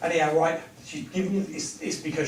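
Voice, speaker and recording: The speaker has an English accent. There is audible room echo and noticeable background noise. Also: man. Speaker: medium. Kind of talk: clairvoyance demonstration. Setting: village hall with audience. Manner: fast.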